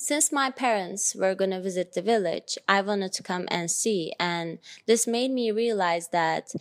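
A woman with a Turkish accent, medium pitch, ordinary pitch variation and a fairly slow pace. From Turkey (Ankara). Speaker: podcast host. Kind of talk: personal monologue.

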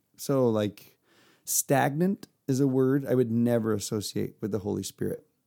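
This man has an American accent and a medium pitch with ordinary pitch variation. His dark, mellow tone comes at a moderate pace in a dry, close sound with no echo. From Texas, near Houston. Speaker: guest, father of six. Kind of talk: casual chat.

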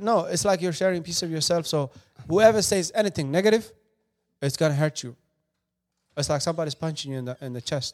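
A man talks at a very fast pace and fairly high pitch, with ordinary pitch variation and big swings in loudness. Long, frequent pauses break up the dry, close sound with no echo. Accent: Somali. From Somali refugee camp, moved to US 2013. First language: Somali. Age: 20s. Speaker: filmmaker. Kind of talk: casual interview.

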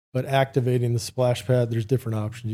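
A man's dark, mellow, somewhat breathy voice in monotone, flat intonation. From California. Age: 40s. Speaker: splash pad company executive. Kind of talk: casual podcast interview.

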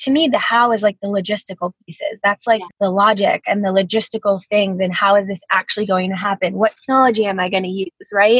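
A woman with an unremarkable speaking voice and an American accent sits at medium pitch with ordinary pitch variation, the sound dry and close with no echo. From US Northeast (New Jersey). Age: 30s. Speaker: brand designer and entrepreneur. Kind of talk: casual interview chat.

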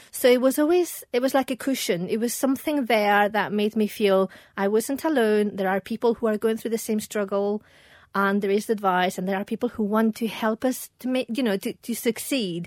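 This woman has a normal speaking voice, pitched fairly high, with ordinary pitch variation. She talks at a moderate pace on a very clean recording with a silent background. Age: 40s. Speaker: perfumer and business founder. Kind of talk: casual interview.

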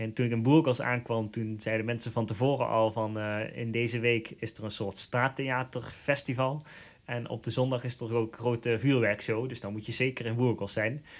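On a very clean recording with a silent background, a man of medium pitch talks at a moderate pace in a flat monotone, with hardly any pauses. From Netherlands, Limburg. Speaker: pilgrim. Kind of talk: interview. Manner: hesitant, many fillers.

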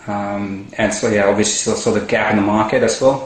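Audible room echo and noticeable background noise surround a man speaking at a fairly low pitch and a moderate pace. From India. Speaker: entrepreneur. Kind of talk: interview. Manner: halting, repeats words.

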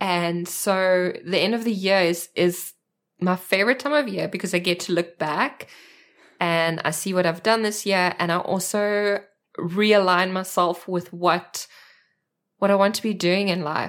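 On a very clean recording with a silent background, a woman with a South African accent speaks at a fairly slow pace and a medium pitch. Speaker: art journaling community leader. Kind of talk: casual chat. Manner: animated.

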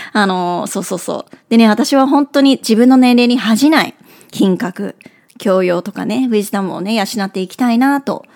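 Speaking at a moderate pace, a woman has a fairly high pitch and ordinary pitch variation. Her loudness swings widely, and the sound is dry and close with no echo. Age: 40s. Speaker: podcast host, career coach. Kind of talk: casual monologue. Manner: animated.

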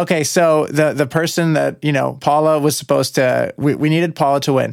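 A man with a plain, everyday voice, fairly high in pitch, with fairly even intonation and a fairly quick pace. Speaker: musician and amateur triathlete, podcast co-host. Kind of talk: casual chat.

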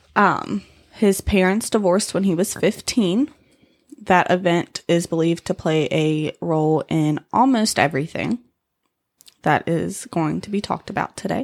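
In a very clean, dry, close recording with a silent background and no echo, a woman with a normal speaking voice talks at a moderate pace, fairly low in pitch, with ordinary pitch variation. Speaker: podcast co-host telling true crime story. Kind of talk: true crime storytelling, casual banter with swearing. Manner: casual, sarcastic, profane, joking.

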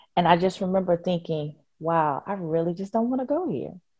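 A woman of medium pitch with a normal speaking voice, ordinary pitch variation and a moderate pace. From Richmond, Virginia. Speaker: nonprofit education leader. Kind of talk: interview.

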